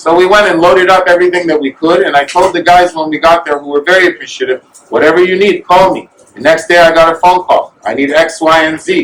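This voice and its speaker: A man with a high pitch talks loudly at a very fast pace, his intonation fairly even. Noticeable background noise can be heard. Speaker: volunteer supplying soldiers. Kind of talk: speech at fundraising event. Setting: event with audience.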